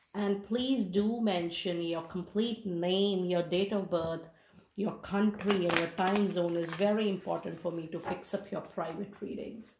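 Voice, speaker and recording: With noticeable background noise, a woman of medium pitch speaks at a fairly slow pace with fairly even intonation. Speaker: tarot reader. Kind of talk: tarot reading.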